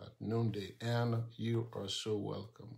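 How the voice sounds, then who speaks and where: A man speaks very slowly at a fairly low pitch. The background is quiet. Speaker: pastor. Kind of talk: live stream prayer and sermon. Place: home room. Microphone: phone near.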